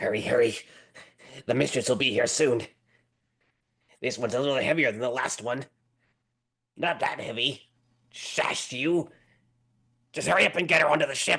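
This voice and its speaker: A man's put-on character voice at medium pitch and a moderate pace, with long, frequent pauses. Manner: urgent, hurried.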